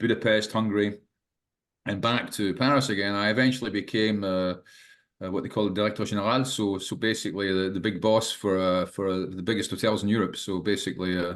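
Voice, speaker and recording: With a Scottish accent, a man talks at a very fast pace, fairly low in pitch with fairly even intonation, against a quiet background. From Scotland. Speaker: management teacher and ex-hotel manager. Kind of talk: podcast interview. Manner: halting, many fillers and repetitions.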